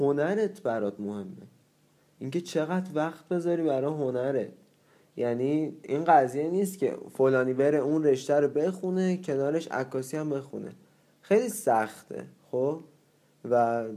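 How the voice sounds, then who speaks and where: A man's fairly high-pitched voice with a dark, mellow tone, lively intonation and a moderate pace. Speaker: photography student. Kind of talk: casual chat.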